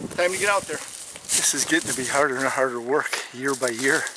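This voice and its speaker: Noticeable background noise sits under a man with an American accent talking at a moderate pace with ordinary pitch variation. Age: 60s. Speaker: hunting vlogger. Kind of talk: outdoor vlog narration. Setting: outdoors in a hunting blind.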